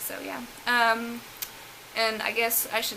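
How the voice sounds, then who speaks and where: Amid noticeable background noise and audible room echo, a woman with a strong Southern US accent speaks at a fairly high pitch. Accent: thick Southern drawl. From US South. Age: 20s. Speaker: beauty vlogger. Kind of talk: casual chat.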